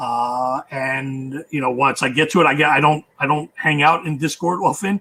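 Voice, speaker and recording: An unremarkable speaking voice from a man, fairly high in pitch, with ordinary pitch variation and a moderate pace. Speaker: board game publisher. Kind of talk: Q&A session.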